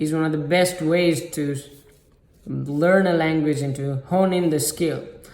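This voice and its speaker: With a non-native accent, a man talks at a moderate pace amid noticeable background noise and audible room echo. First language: not English. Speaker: self-improvement YouTuber. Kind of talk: motivational talk to camera. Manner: halting, many fillers.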